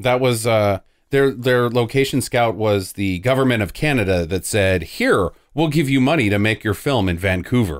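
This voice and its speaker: With an unremarkable speaking voice, a man talks at medium pitch and a moderate pace, his intonation lively and his loudness very even. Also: very clean recording, silent background. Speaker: podcast host. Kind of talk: casual chat.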